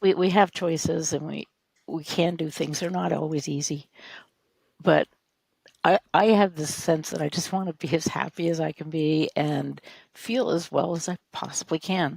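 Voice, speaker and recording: At a fairly low pitch with vocal fry, a woman speaks at a moderate pace with fairly even intonation in a dry, close sound with no echo. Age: 70s. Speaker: type 1 diabetes advocate and blogger. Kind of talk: casual interview chat. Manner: halting.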